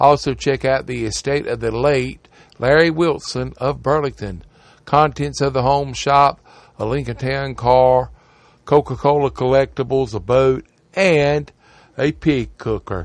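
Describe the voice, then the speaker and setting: Ordinary pitch variation runs through a man's medium-pitched voice. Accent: Southern US. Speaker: radio host. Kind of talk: radio ad patter, reading classifieds aloud. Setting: studio. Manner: brisk, repetitive, rhythmic, repeating phone numbers twice.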